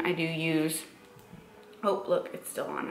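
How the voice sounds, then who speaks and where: A woman's fairly low-pitched voice amid noticeable background noise and audible room echo. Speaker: fitness vlogger and bikini competitor. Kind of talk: casual vlog talk. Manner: casual with filler words.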